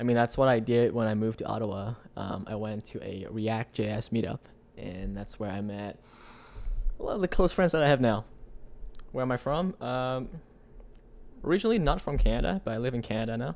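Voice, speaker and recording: A man with a Vietnamese accent speaks in a medium pitch with lively intonation. He leaves long, frequent pauses. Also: fairly quick pace. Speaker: tech live streamer. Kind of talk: live stream chat. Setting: live stream. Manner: casual, many fillers.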